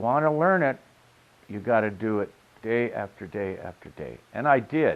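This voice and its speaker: A man talks at a fairly slow pace with a medium pitch. His pitch swings very widely. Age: 70s. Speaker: custom car pinstriper and sign painter. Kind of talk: interview storytelling. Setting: on camera interview. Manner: hesitant with frequent uh fillers.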